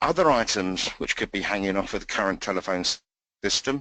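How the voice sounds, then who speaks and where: A man with an English accent speaks fairly quickly, his fairly low voice bright and sharp in tone. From England. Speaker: technical trainer. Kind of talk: training session. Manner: hesitant, many fillers.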